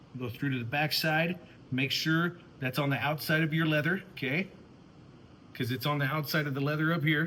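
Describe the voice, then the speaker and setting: Loud and bright with a sharp edge, this man's fairly high voice is broken by long, frequent pauses. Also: fairly even intonation, fairly quick pace. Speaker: woodworking and leather craft youtuber. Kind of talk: tutorial. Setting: workshop.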